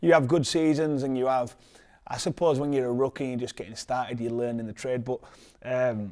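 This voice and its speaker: At a fairly quick pace, a man with a Yorkshire accent speaks in a dark, mellow tone at a medium pitch with ordinary pitch variation, in a very clean recording with a silent background. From northern England, Leeds. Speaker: professional rugby league player. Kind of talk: interview. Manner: halting, many fillers and repeats.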